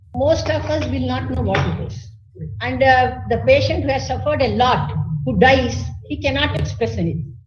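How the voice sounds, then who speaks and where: A speaker with an Indian accent is heard over noticeable background noise, with audible room echo. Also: woman. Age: 70s. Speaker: physician. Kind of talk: webinar talk.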